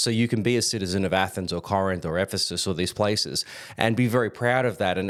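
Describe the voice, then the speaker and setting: Fairly quick speech with an Australian accent on a very clean recording with a silent background. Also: man. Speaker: Bible teacher. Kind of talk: lecture. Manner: halting, with fillers.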